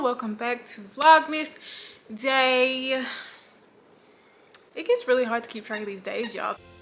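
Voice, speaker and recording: Over background music, a woman with a high pitch and ordinary pitch variation speaks at a fairly slow pace, her loudness swinging widely and her pauses long and frequent. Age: 20s. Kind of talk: casual talk to camera.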